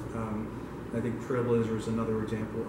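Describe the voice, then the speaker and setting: A man speaks over loud background noise, with audible echo in the room. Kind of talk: event announcements. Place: meeting room. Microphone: camera far.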